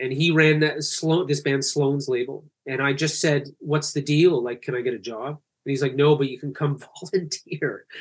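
In a Canadian accent, a man talks at a fairly high pitch. His voice is somewhat breathy, with fairly even intonation. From Canada. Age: 40s. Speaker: music tech founder. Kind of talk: casual interview. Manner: fast.

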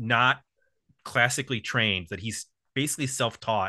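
A man speaks at a moderate pace in a bright, sharp tone. The background is quiet. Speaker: music podcast host. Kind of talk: casual chat.

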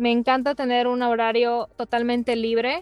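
A woman speaks at a moderate pace in a fairly high pitch. The very clean recording has a silent background and a dry, close sound with no echo. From Mexico, Mérida, Yucatán. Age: 30s. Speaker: podcast co-host, office manager. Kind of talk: casual chat. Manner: soft-spoken.

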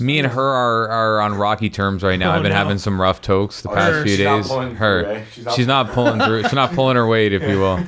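A fairly low-pitched man against noticeable background noise. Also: ordinary pitch variation, moderate pace. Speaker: podcast co-host.

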